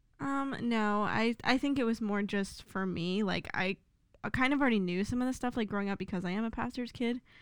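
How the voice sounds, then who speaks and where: In a very clean recording with a silent background, a woman with an American accent talks at a fairly quick pace in an ordinary speaking voice, her fairly high pitch showing ordinary variation. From Philadelphia, US. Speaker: college student. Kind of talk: casual chat.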